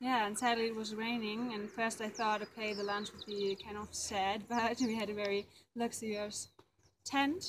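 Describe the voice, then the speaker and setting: Noticeable background noise runs under this woman's speech. Her intonation is monotone and flat. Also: moderate pace. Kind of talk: casual travel testimonial. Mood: cheerful, laughing. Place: open country. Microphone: camera far.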